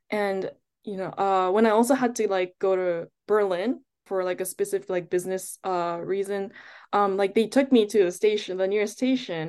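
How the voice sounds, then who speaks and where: A woman with an American accent speaks in a normal speaking voice at medium pitch, with fairly even intonation and a moderate pace. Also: quiet background. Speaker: chemistry student, former research intern. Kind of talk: interview.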